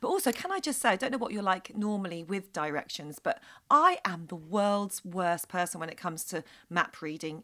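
Her tone comes through bright and sharp. This woman speaks rather quickly. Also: very clean recording, silent background. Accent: British. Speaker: podcast co-host. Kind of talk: casual chat.

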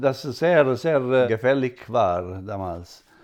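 A man is speaking. He talks with an Italian accent. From Italy, Apulia. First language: Italian (speaking German). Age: 60s. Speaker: restaurateur, father of interviewer. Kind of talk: casual interview. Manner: halting, frequent hesitations.

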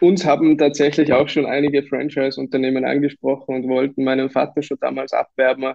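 Talking at a fairly quick pace, a man uses a fairly high pitch and a monotone, flat intonation. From Austria, Tyrol (Kitzbühel). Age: 20s. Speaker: real estate agent. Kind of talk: interview.

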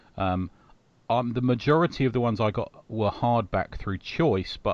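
A man with an ordinary speaking voice talks at a medium pitch with lively intonation over a quiet background. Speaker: podcast host. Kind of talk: casual chat.

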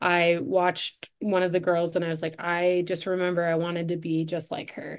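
A woman speaks at a fairly low pitch and a moderate pace. Her intonation is monotone and flat against a quiet background. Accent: Upper Midwest. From Michigan, Detroit suburbs. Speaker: coach and entrepreneur. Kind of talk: interview conversation.

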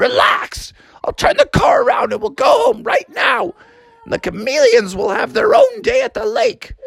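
A put-on character voice shouts at a moderate pace with a fairly bright tone. It swings widely in pitch and carries vocal fry. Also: man, extremely high pitch for a man.

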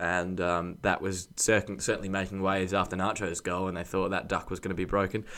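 With an Australian accent, a man talks fairly quickly in a very deep, low pitch, his intonation monotone and flat, with hardly any pauses. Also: very clean recording, silent background. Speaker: football podcast panelist. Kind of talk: casual chat.

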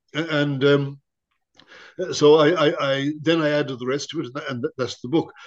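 A man speaks in an Irish accent at a fairly slow pace. His pitch is fairly high and his intonation monotone and flat. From Ireland. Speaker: priest and theology professor. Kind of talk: interview.

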